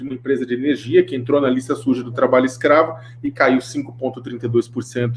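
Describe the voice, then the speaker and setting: The words come at a fairly quick clip. Noticeable noise fills the background. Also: man. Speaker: panelist on anti-slavery finance. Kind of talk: webinar talk. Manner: fast.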